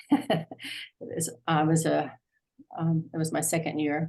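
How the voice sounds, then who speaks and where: In an American accent, a woman speaks with a fairly low pitch. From US, Arlington, Virginia. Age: 70s. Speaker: class participant. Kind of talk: personal introduction in online class. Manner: halting, many fillers.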